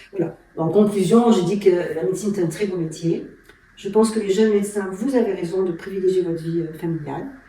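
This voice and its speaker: With audible room echo and noticeable background noise, a woman speaks at a fairly quick pace and medium pitch. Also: fairly even intonation. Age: 60s. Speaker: endocrinologist. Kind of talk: interview. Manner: hesitant, many fillers.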